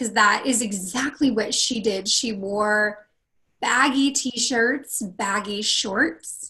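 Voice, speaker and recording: Very slowly, a woman with a West Coast accent speaks in a fairly high pitch, her bright, sharp tone showing ordinary pitch variation. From northern California. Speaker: confidence coach. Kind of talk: interview.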